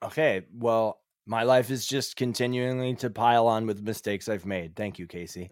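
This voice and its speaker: Recorded very cleanly against a silent background, a man with an American accent and an ordinary speaking voice talks at a moderate pace, with a medium pitch and ordinary pitch variation. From Cape Cod, Massachusetts. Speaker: musician and composer. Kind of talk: casual chat.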